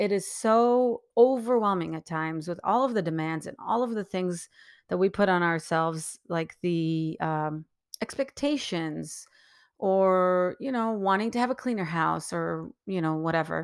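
On a very clean recording with a silent background, a woman speaks at a fairly slow pace in a medium pitch with lively intonation. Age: 40s. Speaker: podcast host. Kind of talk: solo monologue. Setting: at home.

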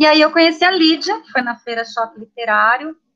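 This woman speaks at a fairly quick pace. Her intonation is lively. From São Paulo city, Brazil. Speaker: poet and art teacher. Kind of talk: casual chat. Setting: video call.

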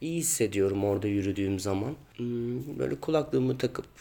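A man's voice with a dark, mellow tone. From Turkey, Ankara. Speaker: stage actor. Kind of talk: interview answers.

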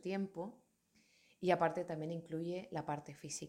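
Delivered at a fairly slow pace, the speech has monotone, flat intonation. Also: woman, very clean recording, silent background. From Canary Islands, Tenerife. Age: 30s. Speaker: yoga teacher. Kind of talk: personal monologue. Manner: halting.

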